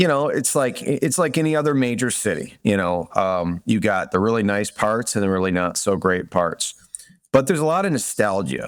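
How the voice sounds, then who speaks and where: A man with a Michigan accent, medium pitch, very wide pitch swings, and a moderate pace on a very clean recording with a silent background. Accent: Midwestern American (Michigan). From Detroit suburbs, Michigan. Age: 40s. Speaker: real estate investor. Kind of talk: interview. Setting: podcast.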